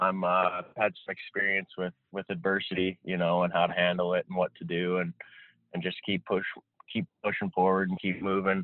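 A man speaks at a fairly quick pace in a low, flat monotone, recorded dry and close with no echo.

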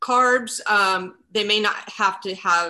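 A woman's voice with a bright, sharp tone. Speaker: sports nutritionist. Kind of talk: interview conversation.

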